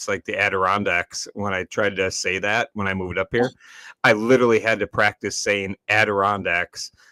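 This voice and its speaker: Someone with an American accent speaks at a moderate pace in a bright, sharp tone, in a very clean recording with a silent background and a dry, close sound with no echo. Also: man. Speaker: online show host. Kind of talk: casual chat. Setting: live stream show.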